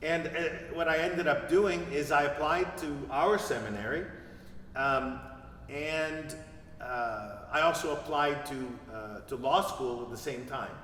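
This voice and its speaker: Amid noticeable background noise and audible room echo, a man with a fairly high pitch talks at a fairly slow pace with ordinary pitch variation. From Quebec, Montreal. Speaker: priest. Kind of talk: interview. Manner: halting.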